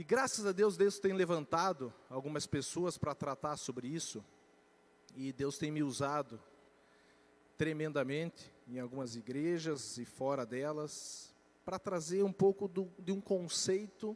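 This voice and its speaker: Fairly high in pitch, this man speaks with lively intonation. His pace is fairly slow. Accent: Curitiba. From Curitiba, southern Brazil. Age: young. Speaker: financial education speaker. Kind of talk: church talk on personal finance.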